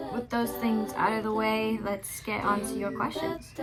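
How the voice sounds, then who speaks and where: Over music in the background, a woman speaks at a fairly high pitch and a moderate pace. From Australia, London and American family. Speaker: singer and vlogger. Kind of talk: casual Q&A vlog.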